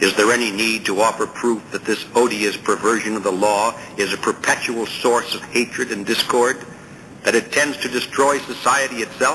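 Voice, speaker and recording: A man speaks at a moderate pace with medium pitch and fairly even intonation. Noticeable background noise runs beneath him. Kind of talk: audiobook reading aloud of a political essay. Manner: formal, measured, steady reading pace; rhetorical, earnest, emphatic on questions and objections.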